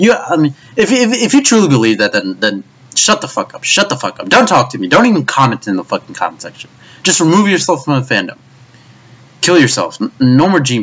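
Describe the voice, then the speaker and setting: A man's fairly high-pitched voice with vocal fry, very wide pitch swings and a fairly quick pace. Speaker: anime commentary youtuber. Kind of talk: rant. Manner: stuttering, repetitive.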